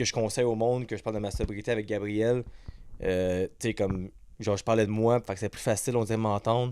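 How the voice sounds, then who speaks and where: A man with a Quebec accent, very fast, at a fairly low pitch, dark and mellow in tone, monotone and flat in intonation, on a very clean recording with a silent background. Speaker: podcast host. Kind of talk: casual chat. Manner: stutters.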